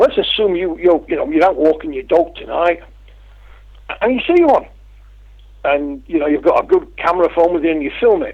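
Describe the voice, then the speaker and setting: With an English accent, a man talks at a fairly quick pace broken by long, frequent pauses. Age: 50s. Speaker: UFO researcher and publisher. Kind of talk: interview.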